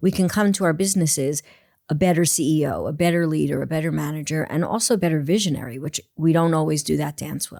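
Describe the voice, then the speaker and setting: In a New York accent, a woman talks at a very fast pace in a very deep, low voice with a dark, mellow tone and ordinary pitch variation, on a very clean recording with a silent background. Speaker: performance coach. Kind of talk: podcast interview. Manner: animated.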